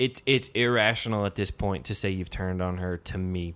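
With a slight Southern US accent, a man with a very deep, low voice speaks at a moderate pace in a very clean recording with a silent background. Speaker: podcast host. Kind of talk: casual chat.

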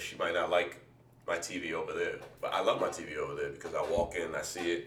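There is audible room echo around a man who talks at a very fast pace. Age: 30s. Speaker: podcast host. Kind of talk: casual chat.

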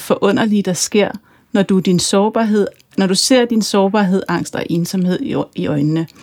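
A woman speaks at a fairly slow pace in an ordinary speaking voice, her pitch medium with ordinary pitch variation. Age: 40s. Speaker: podcast host and author. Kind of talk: interview conversation; scripted introduction.

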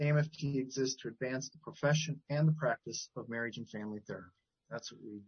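A man with an American accent speaks fairly quickly in a somewhat breathy voice with ordinary pitch variation. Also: medium pitch for a man. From Wisconsin, Milwaukee area. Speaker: CEO of a professional association, family therapist. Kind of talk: interview.

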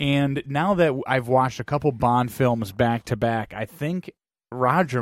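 The recording is very clean, with a silent background. A man with an ordinary speaking voice talks at a medium pitch with ordinary pitch variation. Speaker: podcast host. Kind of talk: casual chat.

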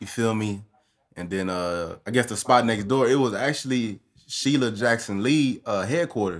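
Using a normal speaking voice, a man with an American accent talks at a medium pitch and moderate pace, with ordinary pitch variation. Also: very clean recording, silent background. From Austin, Texas. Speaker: barber. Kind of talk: casual chat.

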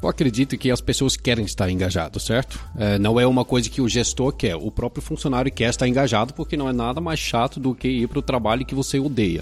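Noticeable background noise runs behind a man who speaks very fast at a medium pitch, with hardly any pauses. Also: ordinary pitch variation. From Dutch family, born in Pará, Brazil. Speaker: tech company manager. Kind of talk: casual interview chat.

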